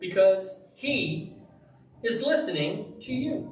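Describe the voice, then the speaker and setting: Loud and animated, a man with an extremely high pitch speaks amid noticeable background noise and audible room echo. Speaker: Bible teacher. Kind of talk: sermon.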